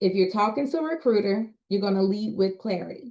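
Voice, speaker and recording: An ordinary speaking voice from a woman at medium pitch, with ordinary pitch variation and a moderate pace. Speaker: communication specialist and public speaker. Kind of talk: presentation.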